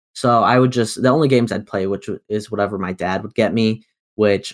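A man with a plain, everyday voice speaks at a fairly quick pace in a fairly low pitch, his intonation fairly even, on a very clean, dry, close recording with no echo and a silent background. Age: 20s. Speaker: podcast host. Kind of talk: casual chat. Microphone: new USB mic.

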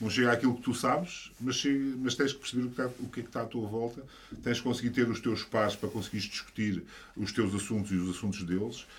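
Very fast, somewhat breathy speech from a man. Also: medium pitch for a man, ordinary pitch variation. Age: 50s. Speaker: engineer and education entrepreneur. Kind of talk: casual chat. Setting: studio.

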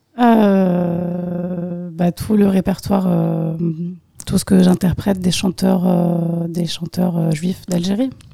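Against noticeable background noise, a woman with a fairly low pitch speaks at a very slow pace in a flat monotone. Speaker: musician. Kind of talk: casual chat. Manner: halting.

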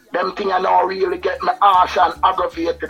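There is noticeable background noise. Through it, a man talks at a moderate pace. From Jamaica, East Kingston. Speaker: reggae musician. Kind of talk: interview. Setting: studio.

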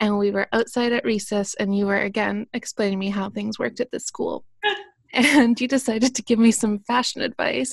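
At a moderate pace and fairly high pitch, a woman speaks in a plain, everyday voice, the sound dry and close with no echo. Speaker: podcast host. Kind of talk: casual chat.

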